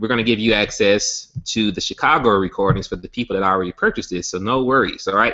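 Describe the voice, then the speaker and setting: Talking very fast with hardly any pauses, a man with a medium-pitched voice and ordinary pitch variation has a Southern US accent. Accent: Southern US country. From Alabama. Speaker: network marketing company founder. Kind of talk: sales pitch webinar. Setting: online webinar hangout.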